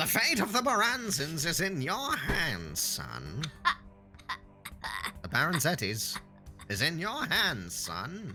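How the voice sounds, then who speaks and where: Over clear music in the background, a man uses a put-on character voice that is high-pitched, raised and projected, speaking at a fairly slow pace. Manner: pompous.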